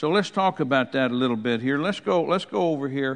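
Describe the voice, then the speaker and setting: A man speaks at a fairly quick pace with a fairly high pitch. He has a plain, everyday voice. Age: 60s. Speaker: preacher. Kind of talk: sermon.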